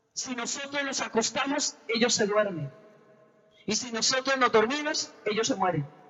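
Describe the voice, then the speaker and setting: The intonation is lively. Noticeable background noise sits behind the voice. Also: woman, fairly high pitch for a woman, moderate pace. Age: 60s. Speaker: preacher. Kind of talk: sermon.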